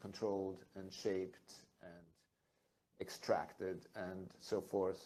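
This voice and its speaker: A man with a German accent speaks at a very slow pace, his fairly low voice carrying a dark, mellow tone. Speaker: photographer. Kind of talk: onstage conversation.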